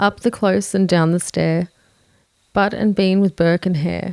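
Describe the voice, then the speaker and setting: Speaking in an Australian accent, a woman with a fairly low voice talks fairly slowly in a flat, monotone way. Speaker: true crime narrator.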